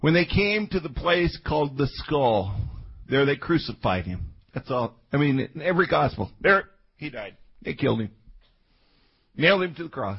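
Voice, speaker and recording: The speaker has an American accent and vocal fry, with very wide pitch swings. Long pauses come often. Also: man, fairly high pitch for a man, moderate pace. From Colorado. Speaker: pastor. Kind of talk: sermon. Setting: church. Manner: animated.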